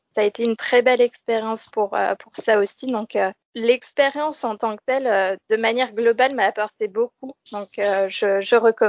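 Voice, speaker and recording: Speaking at a fairly slow pace, a woman talks at a fairly high pitch with fairly even intonation. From France, Lorraine near Metz. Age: 20s. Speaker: former civic service volunteer living abroad. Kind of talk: interview. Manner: halting, with repetitions and fillers.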